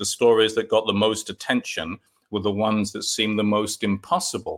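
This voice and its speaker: At a moderate pace, a man of medium pitch speaks with a bright, sharp tone. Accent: London. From London, England. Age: 50s. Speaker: author and UFO folklore researcher. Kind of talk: interview. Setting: remote call.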